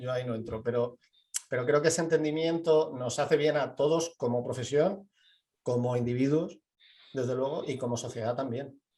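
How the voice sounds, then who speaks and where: This man's voice is somewhat breathy and fairly high in pitch. He talks at a fairly quick pace with fairly even intonation. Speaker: architect and university professor. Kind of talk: interview. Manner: halting, many repetitions.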